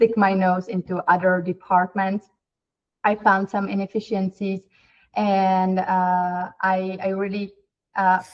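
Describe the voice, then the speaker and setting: A woman's medium-pitched, monotone, flat delivery at a very slow pace, in a Czech accent. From Czech Republic. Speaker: company CEO. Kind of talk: interview.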